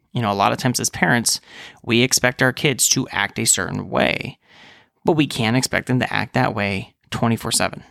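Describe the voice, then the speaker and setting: Vocal fry and a bright, sharp tone at a fairly quick pace, in a dry, close sound with no echo. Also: man, medium pitch for a man, ordinary pitch variation, very clean recording, silent background. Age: 30s. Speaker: physician podcast host. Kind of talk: casual monologue podcast.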